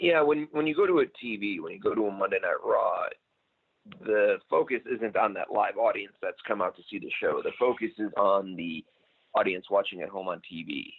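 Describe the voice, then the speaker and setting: A man talks at a moderate pace, his loudness swinging in big jumps. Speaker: former wrestling ring announcer and author. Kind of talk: interview answer. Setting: phone line.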